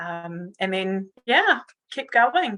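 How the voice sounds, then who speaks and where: A woman speaks at a medium pitch with a New Zealand accent. Her tone is bright and sharp, and her intonation stays fairly even. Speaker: communications director. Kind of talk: interview. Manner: hesitant, many fillers.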